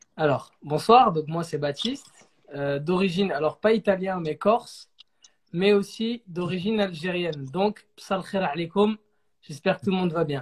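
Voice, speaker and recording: A man's high pitch at a moderate pace, with ordinary pitch variation and long, frequent pauses. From southern France, Saint-Raphaël. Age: 20s. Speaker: singer. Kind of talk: interview.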